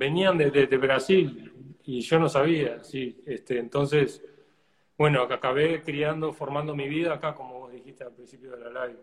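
Somewhat breathy and fairly high-pitched, a man speaks with fairly even intonation and big swings in loudness. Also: moderate pace. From Uruguay. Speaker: flamenco guitarist. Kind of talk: interview.

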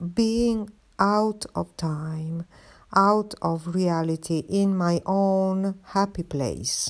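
A woman speaks very slowly in an Italian accent at medium pitch. Her pitch varies in an ordinary way on a very clean recording with a silent background. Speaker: podcaster, artist. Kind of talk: casual monologue. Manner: hesitant, many fillers.

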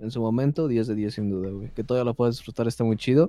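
The tone is dark and mellow, with a Mexican accent. Delivery comes at a very fast pace. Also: man. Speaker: podcast co-host. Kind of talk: casual chat.

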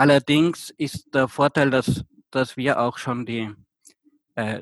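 A man's medium-pitched voice with fairly even intonation, in a dry, close sound with no echo. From Austria. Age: 20s. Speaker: volunteer returned from abroad. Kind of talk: interview. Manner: halting, many fillers.

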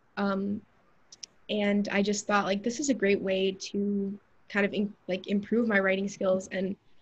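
A woman with an American accent speaks at a moderate pace. Her voice is somewhat breathy and medium in pitch. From US South, Atlanta, Georgia. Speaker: college student intern. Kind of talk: casual interview.

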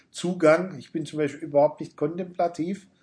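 A man's voice comes through somewhat breathy at a moderate pace. His intonation stays fairly even. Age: 50s. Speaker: pastor. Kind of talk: interview. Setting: backstage room after a church service.

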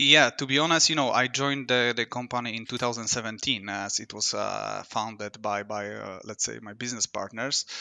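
This man's voice sits at a medium pitch with vocal fry and a bright, sharp tone, moving at a fairly quick pace with hardly any pauses. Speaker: trading technology executive. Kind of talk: interview. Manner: halting.

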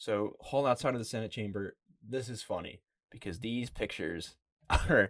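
A man speaks in a plain, everyday voice, medium in pitch, with an American accent and a fairly quick pace. The recording is very clean, with a silent background. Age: 20s. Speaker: podcast host and college student. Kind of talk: casual chat.

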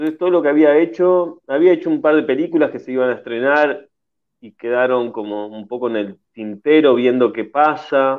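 This man has a fairly high pitch and ordinary pitch variation, talking at a moderate pace with big swings in loudness. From Uruguay. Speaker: actor. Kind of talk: radio interview. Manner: halting, many repetitions and fillers.

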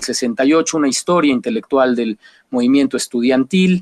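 Here a man has a normal speaking voice and ordinary pitch variation, at a moderate pace. The sound is dry and close, with no echo. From Mexico. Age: 40s. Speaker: Mexican journalist. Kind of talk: interview.

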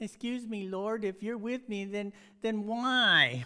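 A whiny, put-on character voice with a whiny tone at a fairly slow pace. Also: woman, fairly high pitch for a woman. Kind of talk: stěžovatelský tón, complaining tone. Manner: whiny, complaining.

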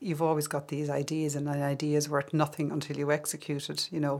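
In an Irish accent, a woman speaks with a very deep, low pitch and monotone, flat intonation. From Ireland, Kildare and the Midlands. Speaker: filmmaker. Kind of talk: interview.

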